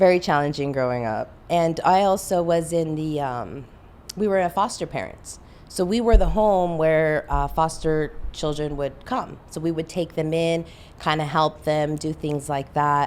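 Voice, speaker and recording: With a Spanish accent and a very deep, low pitch, a woman talks at a moderate pace with ordinary pitch variation in a very clean recording with a silent background. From Southern California, Los Angeles area. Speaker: mortgage loan officer. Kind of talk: interview.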